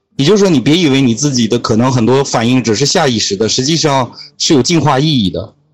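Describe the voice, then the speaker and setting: This man talks at a very fast pace, his loudness very even. His pitch sits in the medium range and varies in an ordinary way. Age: 20s. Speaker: podcaster and guest mentor. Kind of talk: casual interview. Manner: explanatory, lecturing.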